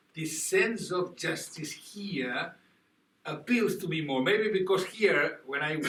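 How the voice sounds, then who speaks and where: Speaking rather unhurriedly, this man talks with a Spanish accent. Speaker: expert witness. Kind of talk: panel discussion. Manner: halting.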